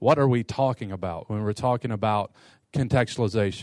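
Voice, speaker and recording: A man with an American accent and a normal speaking voice, medium in pitch, with ordinary pitch variation, a fairly quick pace and a dry, close sound with no echo. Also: very clean recording, silent background. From US Midwest (Detroit) and Eastern Kentucky. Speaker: pastor and seminary professor. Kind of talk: lecture to pastors.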